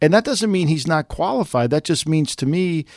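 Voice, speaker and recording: A man with a normal speaking voice talks at a fairly quick pace, his pitch fairly high and its variation ordinary, on a very clean recording with a silent background. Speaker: sports journalist. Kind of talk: sports analysis discussion.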